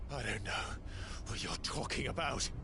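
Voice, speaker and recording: A man's put-on character voice over loud background noise. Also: moderate pace. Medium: short film. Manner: terse, defiant.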